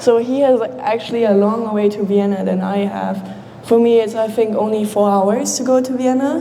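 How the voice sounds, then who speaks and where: Noticeable background noise and audible room echo surround a woman speaking at a moderate pace with a fairly high pitch and ordinary pitch variation. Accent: German. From Austria. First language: German. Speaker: international student. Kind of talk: informal presentation.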